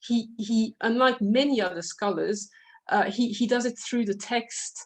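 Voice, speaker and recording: Speaking at a moderate pace, a woman talks in a French accent. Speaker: literature scholar. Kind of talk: academic panel discussion. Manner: halting, many fillers.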